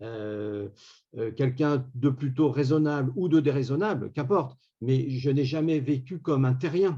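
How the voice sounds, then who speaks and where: Breathy to some degree, a man talks at a fairly slow pace and a medium pitch. His tone is dark and mellow, with ordinary pitch variation. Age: 60s. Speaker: round table panelist. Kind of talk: round table discussion.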